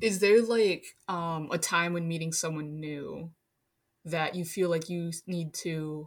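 A woman with an American accent talks in a normal speaking voice at a fairly low pitch and fairly slow pace. The recording is very clean, with a silent background. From Minnesota. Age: 20s. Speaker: architecture worker. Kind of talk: casual chat.

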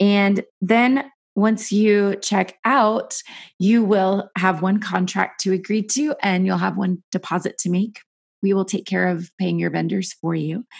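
A woman talks at a fairly slow pace in a medium pitch, somewhat breathy. The background is quiet. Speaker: wedding planner and podcast host. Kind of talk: podcast monologue. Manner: hesitant, many fillers.

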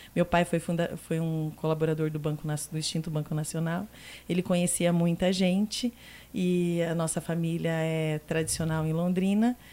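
On a very clean recording with a silent background, a woman speaks at a moderate pace in a fairly low pitch and a dark, mellow tone, her intonation fairly even. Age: 40s. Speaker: restaurant group director. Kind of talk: podcast interview.

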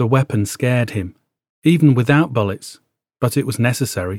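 Lively intonation marks a man speaking at a moderate pace. The sound is dry and close with no echo, on a very clean recording with a silent background. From northern England, Warrington. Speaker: podcaster. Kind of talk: scripted narration; reading aloud.

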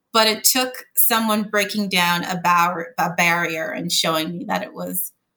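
In a Montreal accent, a woman speaks at a fairly slow pace and a medium pitch. Her tone is bright and sharp, with ordinary pitch variation. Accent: Canadian English, Montreal anglophone. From Montreal, Canada (anglophone Quebec). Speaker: corporate lawyer. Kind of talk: interview.

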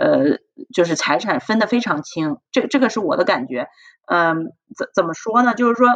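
A woman with an unremarkable speaking voice, at a fairly quick pace with lively intonation. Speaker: hospital physician. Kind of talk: casual chat.

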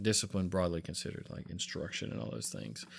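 A man speaks in a Southern US accent on a very clean recording with a silent background. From US South, South Carolina. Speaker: pastor. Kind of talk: interview.

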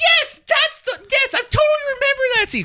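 A woman puts on a squeaky character voice at an extremely high pitch, with lively intonation and a moderate pace. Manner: high-pitched, imitating a reaction.

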